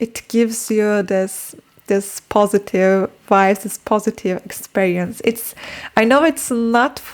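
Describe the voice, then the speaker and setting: A woman talks with a Turkish accent. Her pace is fairly slow. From Turkey. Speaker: book and language-learning vlogger. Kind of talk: casual vlog talk. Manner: halting, with fillers and repetitions.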